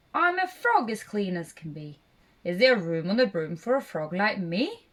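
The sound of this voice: A croaky, put-on character voice moves at a moderate pace. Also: woman, medium pitch for a woman.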